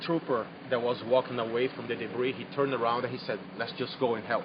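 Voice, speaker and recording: A man at a medium pitch with a non-native accent, moderate pace and fairly even intonation, over noticeable background noise. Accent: foreign accent, noticeable. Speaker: eyewitness to a disaster. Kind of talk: on-scene news interview. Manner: halting, repeating words.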